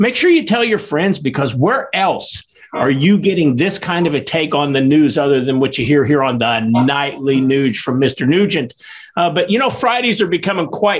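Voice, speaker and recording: Using an ordinary speaking voice, a man talks at a fairly high pitch and a moderate pace. His loudness stays very even. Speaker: podcast host. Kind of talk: casual interview chat.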